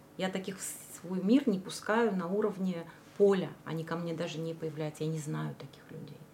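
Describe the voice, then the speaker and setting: A woman speaks at a moderate pace and fairly low pitch with ordinary pitch variation. Her loudness swings widely over noticeable background noise. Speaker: esoteric practitioner. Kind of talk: casual interview.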